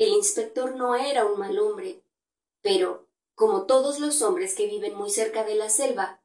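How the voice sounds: The background stays quiet. Heard here is a natural reading voice.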